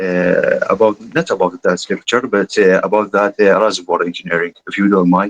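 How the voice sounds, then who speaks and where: Moderately paced, a man talks with an Arabic accent. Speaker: student asking a question. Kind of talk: audience question in online lecture. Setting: video call. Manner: halting.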